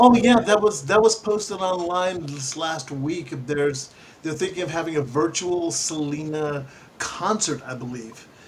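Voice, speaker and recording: Amid noticeable background noise, a fairly high-pitched man speaks fairly slowly with an animated tone, lively intonation and big swings in loudness. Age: 60s. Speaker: radio host. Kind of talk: casual chat.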